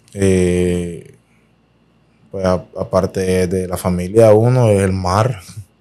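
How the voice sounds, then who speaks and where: A man speaks very slowly with a very deep, low pitch and a dark, mellow tone. Long, frequent pauses break up his fairly even intonation. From Colombia, San Andrés island; Colombia. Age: 20s. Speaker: professional footballer; guest. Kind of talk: interview. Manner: halting, many repetitions. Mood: relaxed, sometimes smiling. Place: studio. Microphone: studio mic.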